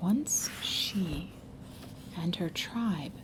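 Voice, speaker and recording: In a soothing tone, a woman speaks at a medium pitch with ordinary pitch variation. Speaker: ASMR storyteller. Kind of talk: ASMR storytelling, soothing story time reading. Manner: soothing, soft.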